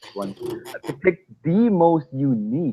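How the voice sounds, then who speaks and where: A man speaks with a non-native accent and lively intonation. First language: not English. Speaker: fragrance reviewer. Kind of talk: casual chat.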